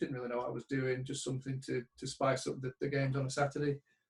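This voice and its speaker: A man's somewhat breathy voice, fairly high in pitch. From northern England, Bradford. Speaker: sports betting trader. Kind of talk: interview.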